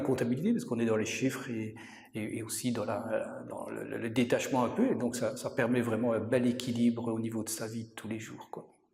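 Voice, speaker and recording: A man speaks in a flat monotone, his loudness swinging widely, over noticeable background noise. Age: 60s. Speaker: yoga teacher and accountant. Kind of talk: interview. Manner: halting, many hesitations.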